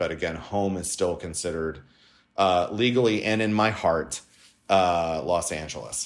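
A man with an American accent talks at a moderate pace in a very deep, low pitch. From Southern California. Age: 40s. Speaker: LGBTQ Republican organization leader. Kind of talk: interview. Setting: remote from home.

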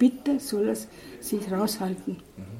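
The speech moves at a fairly slow pace with noticeable background noise behind it. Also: woman. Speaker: missionary nun. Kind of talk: interview. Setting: in-person interview.

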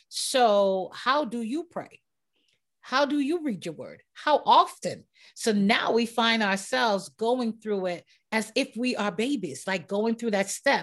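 Over a quiet background, a woman with an unremarkable speaking voice talks at a fairly slow pace, pitched fairly high, with lively intonation. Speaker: podcast host. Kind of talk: casual interview chat.

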